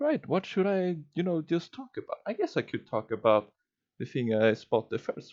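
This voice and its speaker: A man speaks with a non-native accent. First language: not English. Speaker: streamer / YouTuber. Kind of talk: casual monologue. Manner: slow; halting, stuttering.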